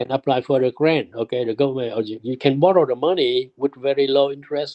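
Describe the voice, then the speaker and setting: Using ordinary pitch variation, a man with a fairly high pitch talks at a fairly quick pace. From immigrant to the US from abroad, arrived 1979. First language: not English. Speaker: immigrant sharing life story. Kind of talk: oral history interview. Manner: halting, repetitive.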